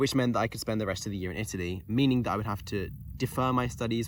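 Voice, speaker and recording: The speaker goes very fast with lively intonation and audible vocal fry. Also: man. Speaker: university student; tutor. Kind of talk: casual talk to camera.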